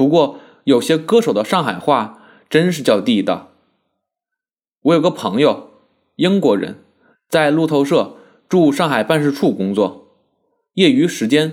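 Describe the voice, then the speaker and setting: A man speaks at a fairly slow pace with long, frequent pauses and vocal fry, his fairly high pitch swinging very widely. The recording is very clean with a silent background. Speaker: essayist. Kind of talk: essay reading.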